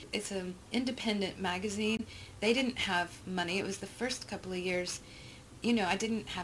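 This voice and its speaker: Noticeable background noise accompanies a woman with an American accent. Her intonation stays fairly even. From Texas. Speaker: photography representative and producer. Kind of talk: interview conversation. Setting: quiet room at a private club.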